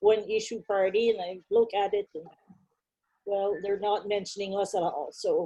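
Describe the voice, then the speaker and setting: A woman with an Acadian accent speaks fairly slowly at medium pitch, her tone dark and mellow and her intonation fairly even. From northern New Brunswick, Acadian. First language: French. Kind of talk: interview.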